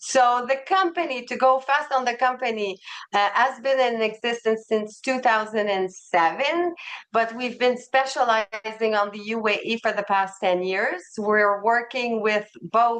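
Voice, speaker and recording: A woman with a Quebec accent, her fairly high pitch moving with ordinary variation. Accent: French Canadian (Quebec). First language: French. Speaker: travel company representative. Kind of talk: sales presentation webinar.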